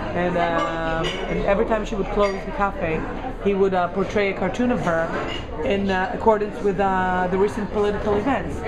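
Music plays under the voice. The talking moves at a middling speed. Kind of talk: interview answer. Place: cafe. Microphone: phone near.

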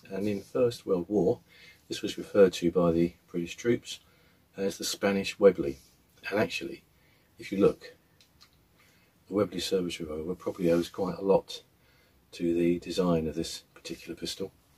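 A man at a moderate pace, with long, frequent pauses. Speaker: air gun reviewer. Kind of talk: product review talk. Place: workshop. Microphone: phone near.

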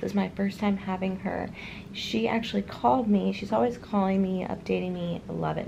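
Noticeable background noise fills the recording. Through it, a woman talks at a moderate pace. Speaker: new mother vlogger. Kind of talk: casual vlog chat. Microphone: phone near.

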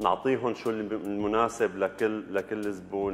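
Speaking very slowly, a man keeps his intonation monotone and flat. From Syria, Algerian family. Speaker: barber and salon owner. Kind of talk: interview. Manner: halting. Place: shop. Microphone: lapel.

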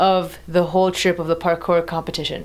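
At a moderate pace, a woman is talking. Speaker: vlogger. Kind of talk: casual vlog chat. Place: home room. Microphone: phone near.

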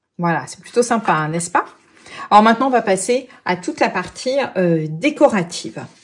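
An animated tone at a moderate pace, with very wide pitch swings and big swings in loudness. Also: woman, fairly high pitch for a woman. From France. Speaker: craft demonstrator. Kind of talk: tutorial.

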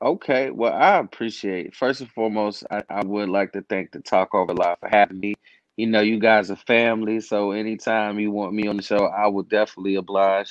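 This man has a normal speaking voice, fairly low in pitch, with fairly even intonation and a fairly quick pace with hardly any pauses. The sound is dry with no echo against a quiet background. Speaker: podcast guest. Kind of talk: interview answer. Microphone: video call.

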